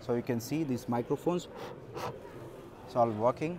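A man's medium-pitched voice, dark and mellow in tone, at a fairly quick pace

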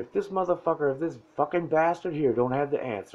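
A man's fairly high voice moves at a moderate clip, with pitch that varies in an ordinary way. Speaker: motivational self-help creator. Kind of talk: direct-to-camera motivational talk. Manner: quiet, not loud. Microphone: phone near.

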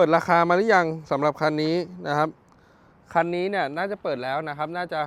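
This man's voice sits high in pitch and carries fairly even intonation. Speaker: used car dealer / car vlogger. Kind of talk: walkaround sales video. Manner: loud.

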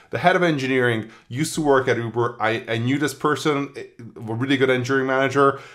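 The pace of this man's speech is very fast. It's quiet in the background. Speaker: tech newsletter writer. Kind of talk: commentary. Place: home room.

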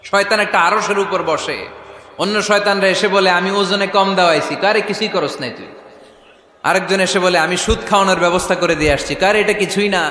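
A high-pitched man speaks in a raised, projected voice with an animated tone over noticeable background noise. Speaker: Islamic preacher. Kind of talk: Islamic sermon (waz) to a live crowd. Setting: live gathering, stage sermon. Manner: animated, call-and-response with the audience.

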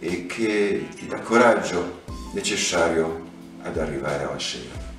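A man with a very deep, low pitch and lively intonation at a fairly slow pace, audible room echo, faint background music. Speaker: poetry reader. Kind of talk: poetry reading, Italian translation. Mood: tender, melancholic. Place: home room.

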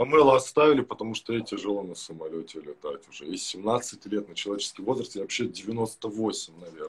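A man speaks at a fairly quick pace with hardly any pauses. His intonation is lively, and his loudness swings widely. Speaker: live stream guest; guest. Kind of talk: casual chat. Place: home room.

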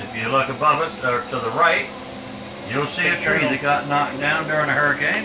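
A man at a fairly quick pace with ordinary pitch variation and noticeable background noise. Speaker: boat tour guide. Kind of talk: tour guide narration. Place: boat.

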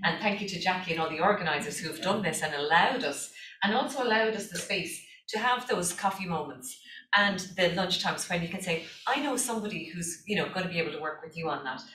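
A woman talks very fast in an Irish accent, her intonation lively. Her pitch is medium, and there is noticeable background noise. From Ireland. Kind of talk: conference presentation. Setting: stage with audience.

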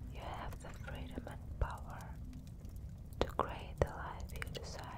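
Amid loud background noise, a woman talks at a fairly slow pace. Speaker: ASMR creator. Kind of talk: ASMR sleep hypnosis with affirmations. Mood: calm, soothing. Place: home room. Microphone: studio mic.

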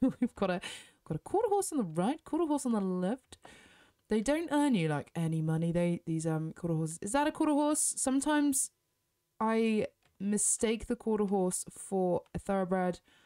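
A woman speaks at a moderate pace, her pitch swinging very widely. The sound is dry and close with no echo, and her tone is dark and mellow. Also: medium pitch for a woman. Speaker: gaming youtuber. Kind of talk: gameplay commentary. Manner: casual, chatty.

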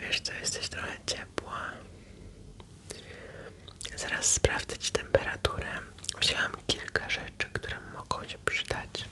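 Whispering, a woman moves at a very slow pace. Long pauses come often. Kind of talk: soft-spoken role-play chat. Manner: soft, caring close-mic voice. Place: home room. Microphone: studio mic.

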